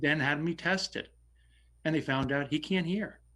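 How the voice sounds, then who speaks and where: Loud speech from a man comes through on a very clean recording with a silent background. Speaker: select board member, local election candidate. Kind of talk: candidates forum answer. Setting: virtual forum. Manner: halting.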